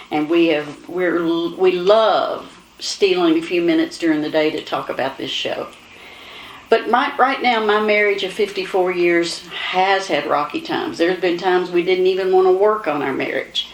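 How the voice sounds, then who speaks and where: Over noticeable background noise, a woman with a Kentucky accent talks at a moderate pace in a medium pitch with ordinary pitch variation. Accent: Kentucky Southern US. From Kentucky, Owen County. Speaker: talk show host. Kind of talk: casual talk show chat.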